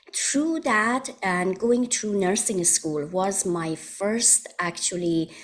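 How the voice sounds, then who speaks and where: A woman with a Persian accent, medium in pitch, very slow, with lively intonation and very even loudness. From Iran. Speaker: holistic wellness practitioner. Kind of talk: interview.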